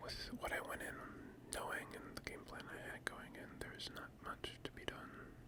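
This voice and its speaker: Whispering over noticeable background noise. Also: moderate pace. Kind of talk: whispered ASMR gaming commentary. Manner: whispered.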